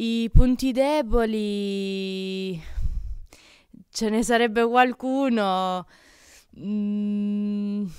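Very slowly, a woman speaks with ordinary pitch variation. She leaves long pauses often, over a quiet background. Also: dry sound with no echo. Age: 20s. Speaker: archer; interviewee. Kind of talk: interview. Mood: relaxed, smiling. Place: gym. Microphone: handheld.

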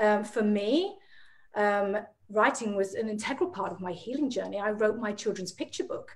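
A woman's medium-pitched voice at a fairly quick pace. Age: 40s. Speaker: emotional healing practitioner; guest. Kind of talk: casual interview chat. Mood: earnest, reflective. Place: home room. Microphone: video call.

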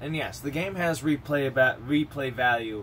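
A man's fairly high voice with a bright, sharp tone and ordinary pitch variation, at a moderate pace over light background noise. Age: 30s. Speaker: gaming vlogger. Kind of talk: casual monologue. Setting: home recording. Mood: relaxed, chatty. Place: home room. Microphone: webcam.

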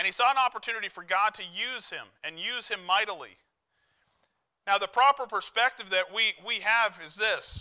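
Over a quiet background, a man with a high pitch raises and projects his bright, sharp voice at a moderate pace, his loudness swinging widely while his pitch varies in an ordinary way. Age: 40s. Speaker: lay preacher; preacher. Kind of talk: sermon. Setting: church. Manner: halting. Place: church.

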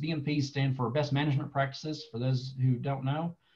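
A man at a fairly quick pace over a quiet background. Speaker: presenter. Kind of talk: online presentation. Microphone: webcam.

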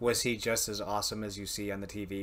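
In a fairly low pitch, a man speaks at a moderate pace with monotone, flat intonation. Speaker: podcast host. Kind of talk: podcast host talk. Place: home room.

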